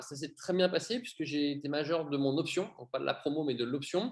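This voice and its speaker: A man speaks in a normal speaking voice. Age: 30s. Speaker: airline pilot. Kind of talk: interview.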